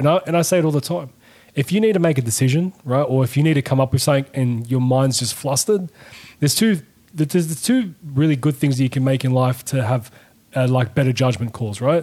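A man with an Australian accent, very fast-paced, medium-pitched, a bit breathy, with a dark, mellow tone and ordinary pitch variation. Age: 30s. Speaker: tradesman and podcast guest. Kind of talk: casual chat. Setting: studio.

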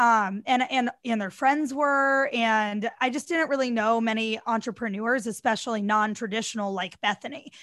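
An American-accented woman with an ordinary speaking voice talks at a moderate pace and a fairly high pitch, with ordinary pitch variation and hardly any pauses, in a very clean recording with a silent background. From US Midwest. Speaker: DJ and TV personality. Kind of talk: casual interview chat.

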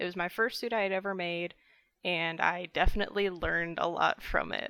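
A plain, everyday voice from a woman with an American accent, fairly low in pitch with fairly even intonation at a moderate pace, on a very clean recording with a silent background. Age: 20s. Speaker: furry artist. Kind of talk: casual chat.

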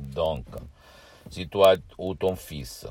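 A man with an Italian accent. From southern Italy. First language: Italian (speaking French). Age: 50s. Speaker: hypnotherapist. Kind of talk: video monologue. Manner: halting, repetitive.

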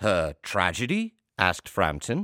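A man's voice swings very widely in pitch, with a bright, sharp tone and vocal fry. The recording is very clean, with a silent background. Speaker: artistic director and host. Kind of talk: podcast intro, then reading a story aloud.

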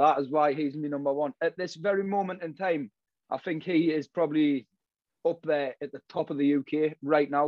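A man with a Geordie accent, at a fairly high pitch and moderate pace, with fairly even intonation. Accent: Geordie, northeast English. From Newcastle, northeast England. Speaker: drill artist. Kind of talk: casual interview chat.

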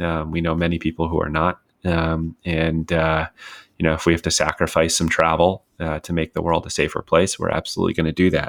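Very deep, low male voice, monotone and flat, at a fairly quick pace, with a dry, close sound and no echo on a very clean recording with a silent background. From US Northeast, Westchester County, New York. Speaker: podcast host, sports card collector and investor. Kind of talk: solo podcast monologue. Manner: many fillers, um and uh.

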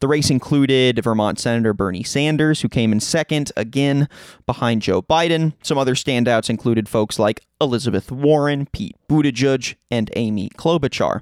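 In an unremarkable speaking voice, a man talks at a moderate pace and medium pitch with hardly any pauses and ordinary pitch variation, the sound dry and close with no echo. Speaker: podcast host. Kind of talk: interview podcast, scripted intro and casual conversation.

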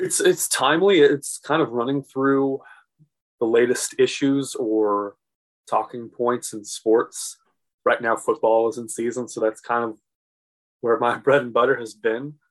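A man with an American accent speaks in a plain, everyday voice with ordinary pitch variation. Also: medium pitch for a man, fairly slow pace. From St. Louis, Missouri. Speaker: local TV sports reporter and podcast host. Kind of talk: casual interview.

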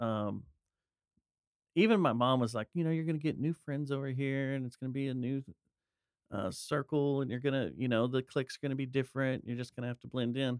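A man with an American accent talks at a fairly quick pace in an ordinary speaking voice, medium in pitch with ordinary pitch variation. The sound is dry and close with no echo. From Texas, Dallas-Fort Worth area. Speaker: podcaster and musician. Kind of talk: casual chat.

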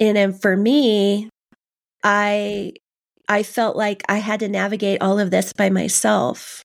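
A woman with a Californian accent, at a very slow pace and very even loudness. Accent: General American, Californian. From US West Coast, Southern California. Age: 50s. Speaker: author. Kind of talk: interview, personal testimony.

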